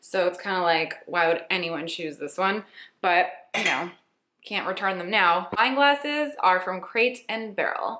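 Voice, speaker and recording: In a normal speaking voice, a woman talks at a fairly slow pace with medium pitch and lively intonation. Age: 20s. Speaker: beauty and lifestyle blogger. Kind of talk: casual Q&A vlog.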